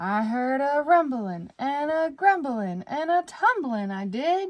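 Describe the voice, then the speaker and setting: In a put-on character voice, a woman speaks at a fairly slow pace with a high pitch. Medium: read story. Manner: excited, urgent.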